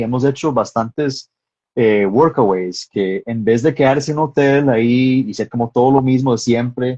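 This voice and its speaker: A man at medium pitch in a strong Texan accent, fairly slow, with a dark, mellow tone, ordinary pitch variation, and a dry, close sound with no echo. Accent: American (Texan) accent in Spanish, strong. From Texas. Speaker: filmmaker and screenwriter. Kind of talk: interview in a live stream. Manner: hesitant, many fillers.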